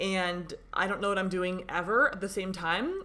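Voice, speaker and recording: Her tone is bright, sharp and animated. The woman speaks at a fairly slow pace with ordinary pitch variation. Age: 20s. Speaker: podcast host, small business owner. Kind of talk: casual solo podcast talk.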